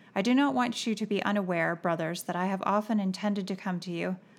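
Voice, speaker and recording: A woman with an ordinary speaking voice, medium in pitch, at a fairly quick pace. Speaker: podcast co-host. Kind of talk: casual devotional Bible discussion.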